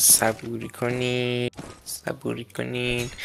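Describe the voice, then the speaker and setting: A man at a medium pitch with monotone, flat intonation, over noticeable background noise. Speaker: gaming streamer. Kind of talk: live gameplay commentary.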